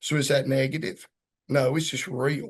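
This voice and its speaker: In a Southern US accent, a man speaks at a moderate pace. His pitch is fairly high, with vocal fry. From Georgia, US South. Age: 50s. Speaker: police chief. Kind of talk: casual interview conversation. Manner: animated.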